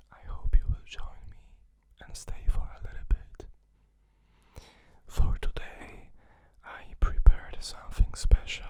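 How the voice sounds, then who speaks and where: A woman whispering at a very slow pace. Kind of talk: ASMR perfume talk, soft spoken. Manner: soft-spoken, whispery, calming.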